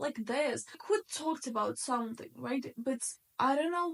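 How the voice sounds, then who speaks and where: Pitch varies in an ordinary way as the words come at a fairly slow pace. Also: woman. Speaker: vlogger. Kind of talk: casual chat. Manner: loud; animated.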